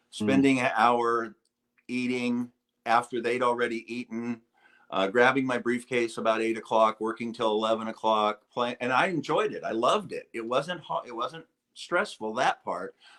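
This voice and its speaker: Delivered in an ordinary speaking voice, the speech moves at a moderate pace with fairly even intonation. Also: man, medium pitch for a man. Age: 60s. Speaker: retired marketing executive. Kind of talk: interview answer.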